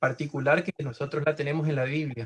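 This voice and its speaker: Somewhat breathy, this man's voice has a fairly high pitch. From Argentina, Chaco. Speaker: caller asking a Bible question. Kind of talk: question in a Bible study Q&A. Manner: halting, many fillers.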